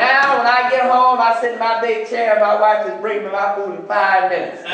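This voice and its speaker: There's noticeable background noise and audible room echo as a man talks at a fairly quick pace in an animated tone. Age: 40s. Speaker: preacher. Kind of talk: sermon. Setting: church.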